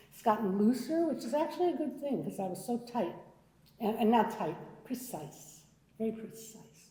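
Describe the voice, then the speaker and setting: A woman is speaking in a space with audible room echo. Noticeable background noise runs underneath. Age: 70s. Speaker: artist with Parkinson's. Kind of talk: panel discussion. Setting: art gallery with audience.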